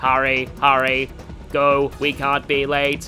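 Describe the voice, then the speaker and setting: A robotic, put-on character voice at a low-to-middle pitch, monotone and flat, fairly slow, with clear music in the background. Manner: urgent.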